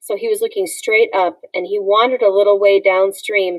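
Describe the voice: The passage is read aloud plainly.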